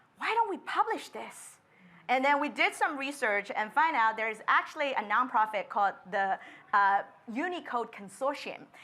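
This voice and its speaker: A woman speaks at a moderate pace in a high voice with lively intonation. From China, Shanghai. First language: Chinese. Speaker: designer. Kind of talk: panel discussion.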